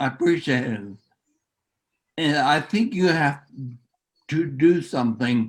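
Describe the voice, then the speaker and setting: A man with a fairly high pitch, ordinary pitch variation, a very slow pace and long, frequent pauses. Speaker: author, guest speaker. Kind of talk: presentation. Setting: video call. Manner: speech affected by neurological disease; halting.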